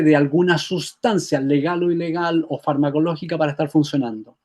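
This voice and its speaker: The man's voice is fairly high in pitch and dark, mellow in tone, with fairly even intonation. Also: hardly any pauses. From Chile. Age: 70s. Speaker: health therapist and author. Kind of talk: interview.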